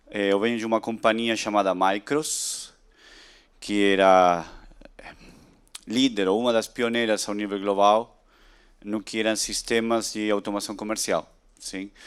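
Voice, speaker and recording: A man's fairly low, monotone, flat delivery with an Argentine accent, fairly slow and broken by long, frequent pauses, in a very clean recording with a silent background. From Argentina, Buenos Aires. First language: Spanish (speaking Portuguese). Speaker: tech industry speaker. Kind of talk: conference talk.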